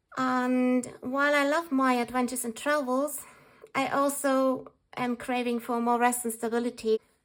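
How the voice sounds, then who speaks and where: A woman speaks in a high, flat monotone with a non-native accent. Her pace is moderate. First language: not English. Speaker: journaling vlogger. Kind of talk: tutorial. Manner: calm.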